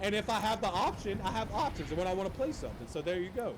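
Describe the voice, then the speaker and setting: Over noticeable background noise and audible room echo, a man talks at a very fast pace in a high pitch, with an animated tone and lively intonation. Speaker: podcast host. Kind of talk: casual chat.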